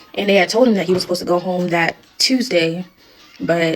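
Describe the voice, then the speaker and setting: Music plays in the background as a woman talks in a fairly low voice. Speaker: widow sharing her story. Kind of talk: personal testimony vlog.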